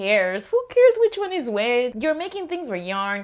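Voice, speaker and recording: Over a quiet background, a woman with a Spanish accent speaks at a moderate pace with very wide pitch swings. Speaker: knitting vlogger. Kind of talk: casual vlog monologue.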